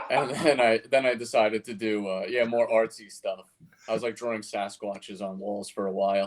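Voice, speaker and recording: In a New York accent, a man talks at a fairly quick pace with fairly even intonation. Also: medium pitch for a man. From Queens, New York. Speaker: cartoonist. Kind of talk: casual interview. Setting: live stream. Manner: halting, many fillers.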